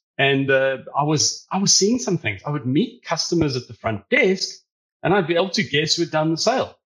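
With a South African accent, a man talks at a fairly quick pace in a fairly high pitch, his voice making very wide pitch swings. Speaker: data service founder. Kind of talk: interview. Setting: video call from Australia.

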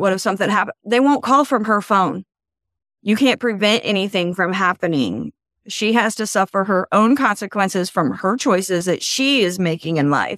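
In a plain, everyday voice, a woman speaks at medium pitch and a moderate pace, with ordinary pitch variation, very even loudness and a quiet background. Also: dry, close sound with no echo. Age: 40s. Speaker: guest sharing mental health story. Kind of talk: testimony.

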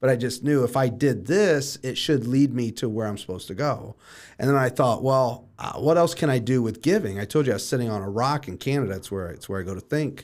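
A man's a normal speaking voice with lively intonation and hardly any pauses, over a very clean recording and silent background. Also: medium pitch for a man, fairly quick pace. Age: 30s. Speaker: real estate team leader and coach. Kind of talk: casual interview.

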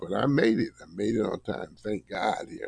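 A man puts on a character voice that is hoarse and medium in pitch. He speaks at a moderate pace.

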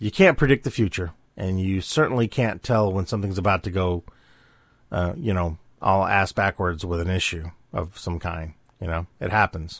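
A man speaks in a very deep, low voice with ordinary pitch variation. The recording is very clean and dry, close with no echo and a silent background. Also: moderate pace. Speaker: podcaster and artist. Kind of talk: solo monologue podcast. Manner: rambling, filler-heavy.

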